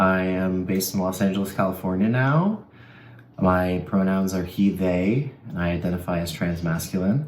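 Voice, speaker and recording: A man speaks with a very deep, low pitch and ordinary pitch variation. Room echo is audible. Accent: American. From United States. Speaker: actor. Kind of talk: interview.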